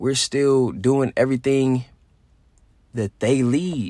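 Recorded very cleanly against a silent background, a man of medium pitch speaks at a fairly slow pace. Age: 20s. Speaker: podcaster. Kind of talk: solo casual monologue.

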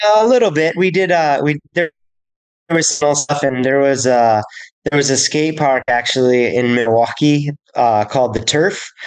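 A man's fairly high-pitched, an ordinary speaking voice, very even in loudness, with ordinary pitch variation, at a moderate pace. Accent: American. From US Upper Midwest (St. Paul, Minnesota). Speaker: snowboard instructor and coach. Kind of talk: casual interview.

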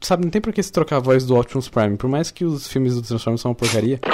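In a dark, mellow tone, a man at medium pitch talks very fast with lively intonation. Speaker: podcast co-host. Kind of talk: casual chat.

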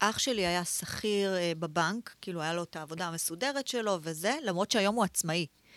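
A woman with an unremarkable speaking voice talks at a moderate pace and medium pitch with ordinary variation, the sound dry and close with no echo and the recording very clean over a silent background. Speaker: entrepreneur, former fashion designer. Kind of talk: interview, personal story.

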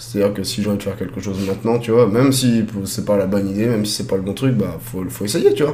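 A man with a fairly low pitch speaks at a very fast pace, with noticeable background noise and audible room echo. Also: ordinary pitch variation. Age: 30s. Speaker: streamer and amusement park operator. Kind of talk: casual chat. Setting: live stream.

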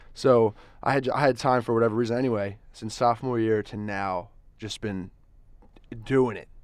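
A man speaks at a moderate pace in a medium pitch with fairly even intonation. His loudness swings widely, and he leaves long, frequent pauses. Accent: American. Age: 20s. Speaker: college student and sports reporter. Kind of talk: casual chat. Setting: studio. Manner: halting, repeats words.

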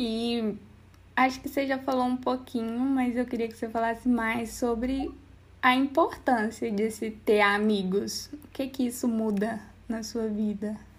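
A woman has a normal speaking voice with a fairly high pitch. She goes at a fairly slow pace with fairly even intonation. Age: 20s. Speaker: podcast host. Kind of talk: casual chat.

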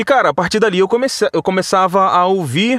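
In a very clean recording with a silent background, a man's voice has a dry, close sound with no echo. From Vassouras, interior of Rio de Janeiro state, Brazil. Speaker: voice-over artist and radio announcer. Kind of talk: casual interview. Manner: conversational, natural delivery; halting, frequent repetitions.

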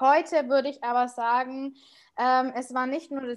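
Against a quiet background, a woman with a Bavarian accent talks at a fairly slow pace in a high voice. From Munich, Bavaria. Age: 30s. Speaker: podcaster. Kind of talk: interview.

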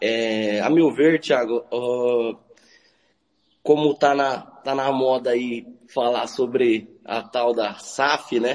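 Speaking at a very slow pace, a man keeps his medium pitch fairly even in intonation. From Maracaju, Mato Grosso do Sul, Brazil. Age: 30s. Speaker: football club president, accountant. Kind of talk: live radio interview.

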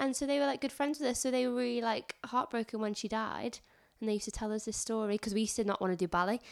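A woman talks at a very fast pace with very even loudness and ordinary pitch variation. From northern England. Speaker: teaching assistant. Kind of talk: casual chat. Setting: in person at home.

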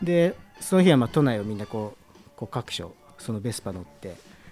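A man's plain, everyday voice at medium pitch with lively intonation. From Numazu, Shizuoka, Japan. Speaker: music bar owner. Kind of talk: casual interview chat. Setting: recorded in his bar.

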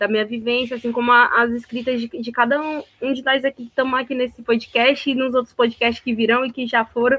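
Recorded dry and close with no echo, a woman talks at a fairly quick pace in a high, bright, sharp voice. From Ceará, Brazil (Sobral). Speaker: poet and cultural producer. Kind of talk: casual chat. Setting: video call.

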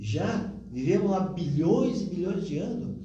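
A man with a high pitch speaks fairly slowly amid noticeable background noise and audible room echo. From Rio Grande do Sul, southern Brazil. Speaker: spiritist speaker. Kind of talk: interview talk on spiritism.

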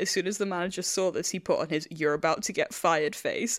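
This woman has an English accent and a medium pitch. She talks at a very fast pace in a very clean recording with a silent background. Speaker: podcast host. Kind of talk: casual chat.

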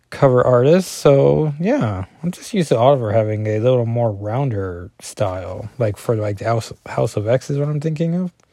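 A man speaks with a dark, mellow tone and lively intonation. The background is quiet. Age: 40s. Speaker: comic book podcaster. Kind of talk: solo comic review podcast.

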